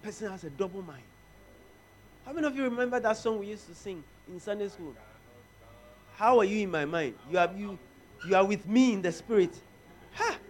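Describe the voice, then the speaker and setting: With music in the background, a man speaks at a fairly quick pace in a high pitch, using lively intonation, big swings in loudness and long, frequent pauses. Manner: impassioned, rising and urgent, with rhythmic repeated phrases and call-and-response.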